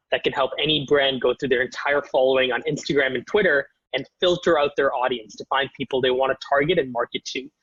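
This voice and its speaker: With a Canadian accent, an ordinary speaking voice moves at a fairly quick pace and keeps a fairly even intonation. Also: man. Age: 20s. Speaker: startup founder. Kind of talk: interview.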